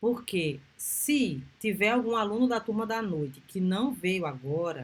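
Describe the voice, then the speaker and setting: Somewhat breathy, a woman talks at a very slow pace with very wide pitch swings. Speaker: university lecturer. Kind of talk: lecture.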